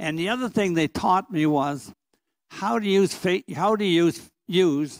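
Recorded dry with no echo against a quiet background, a man speaks very slowly in a high pitch with lively intonation. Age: 90s. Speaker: priest. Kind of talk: testimony. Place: church. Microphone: handheld.

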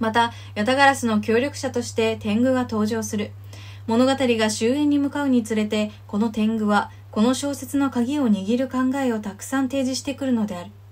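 A fairly high-pitched woman at a moderate pace with fairly even intonation, against noticeable background noise. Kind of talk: reading aloud an academic thesis.

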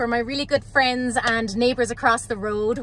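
The woman talks at a moderate pace. The sound is dry with no echo, over light background noise. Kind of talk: casual vlog chat. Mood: excited, happy, grateful. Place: car. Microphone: phone near.

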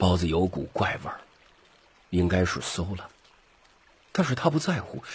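A man speaks low at a moderate pace. His pitch makes big swings.

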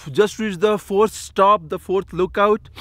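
The recording of this man is dry with no echo, and he talks at a moderate pace. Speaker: travel vlogger. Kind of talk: casual vlog chat. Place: open country. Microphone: phone near.

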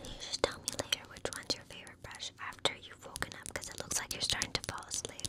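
A woman whispers at a very fast pace with hardly any pauses. Her loudness swings widely over noticeable background noise. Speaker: ASMR creator. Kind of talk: ASMR roleplay, whispered sleepover personal attention. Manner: soft, intimate, friendly.

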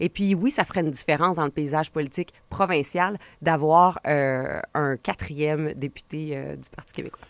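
This woman has a very deep, low pitch with ordinary pitch variation and big swings in loudness. She talks at a moderate pace, and the sound is dry with no echo. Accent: Quebec. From Quebec, Portneuf region (Donnacona); Quebec. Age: 40s. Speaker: political commentator. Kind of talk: radio interview. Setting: radio studio. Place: studio. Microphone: studio mic.

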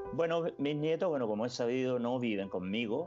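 Clear music sits in the background. A man talks with ordinary pitch variation. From Chile. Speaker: grandfather and NGO founder. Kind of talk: interview answer. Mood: earnest, reflective. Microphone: video call.

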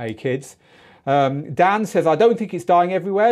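Against a quiet background, a man with a Mancunian accent speaks at a moderate pace, his high-pitched voice dark and mellow in tone, with lively intonation. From northern England, Manchester. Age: 50s. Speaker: DJ school host; live show host. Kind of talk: live stream lesson. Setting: studio. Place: studio. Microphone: lapel.

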